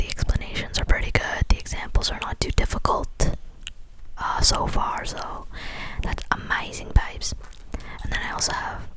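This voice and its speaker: Moderately paced whispering from a woman, with noticeable noise behind it. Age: adult. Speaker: ASMR artist. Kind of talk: ASMR roleplay, casual chatty talk to camera. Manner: whispered, soft, chatty.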